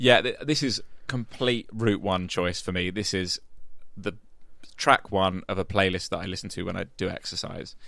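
With a southeast English accent, a man speaks at a moderate pace with a fairly low pitch, ordinary pitch variation and a bright, sharp tone. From southeast England, Medway towns in Kent. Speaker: podcast and radio producer. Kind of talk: casual chat.

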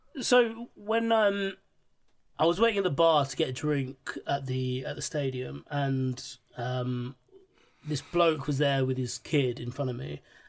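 Speaking at a fairly slow pace, a man with a London accent uses lively intonation in a fairly high voice. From West London, England. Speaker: podcast guest. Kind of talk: casual chat.

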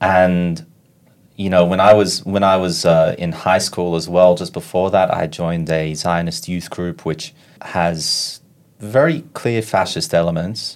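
A man with an Australian accent speaks at a fairly slow pace, his very deep, low voice carrying fairly even intonation. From Sydney, Australia. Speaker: activist, former ultra-Orthodox member. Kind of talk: interview.

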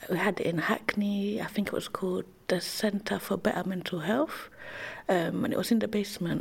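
A woman in a London accent talks at a moderate pace and a medium pitch, with noticeable background noise behind her. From East London (Tower Hamlets). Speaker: illustrator and educator. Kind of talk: casual interview chat.

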